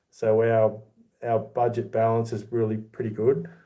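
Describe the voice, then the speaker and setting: At a fairly slow pace, a man speaks with a medium pitch and a dark, mellow tone. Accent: Australian. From Australia. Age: 40s. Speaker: YouTuber, silver collector. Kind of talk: livestream chat reading comments. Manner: casual, conversational.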